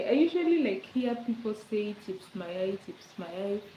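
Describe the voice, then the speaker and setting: Noticeable background noise surrounds a woman speaking with a Kenyan accent and lively intonation. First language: Swahili or other Kenyan language. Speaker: livestreamer. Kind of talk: casual chat. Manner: relaxed, chatty with fillers.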